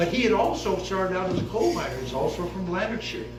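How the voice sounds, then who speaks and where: A man speaks with an American accent. The recording has audible room echo and noticeable background noise. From US Midwest, Kansas City. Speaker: retired professor. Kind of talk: family history talk. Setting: seated at family reunion with audience. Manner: halting.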